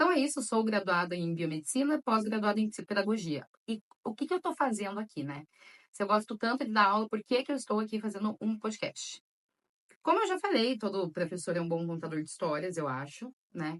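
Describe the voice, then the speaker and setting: Speaking at a fairly quick pace, a woman with a fairly high pitch makes very wide pitch swings in a dry, close sound with no echo. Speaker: podcast host and storyteller. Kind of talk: solo podcast introduction. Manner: chatty, conversational.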